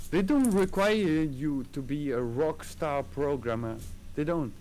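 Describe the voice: Speaking with a non-native accent, a man with a fairly high pitch and slightly mellow tone uses lively intonation. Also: fairly slow pace.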